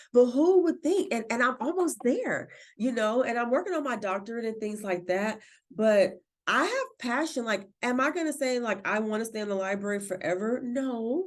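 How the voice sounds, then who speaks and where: Loud and lively in her intonation, a woman with a high pitch speaks at a moderate pace. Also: quiet background. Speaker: library director. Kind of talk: podcast interview. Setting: podcast recording.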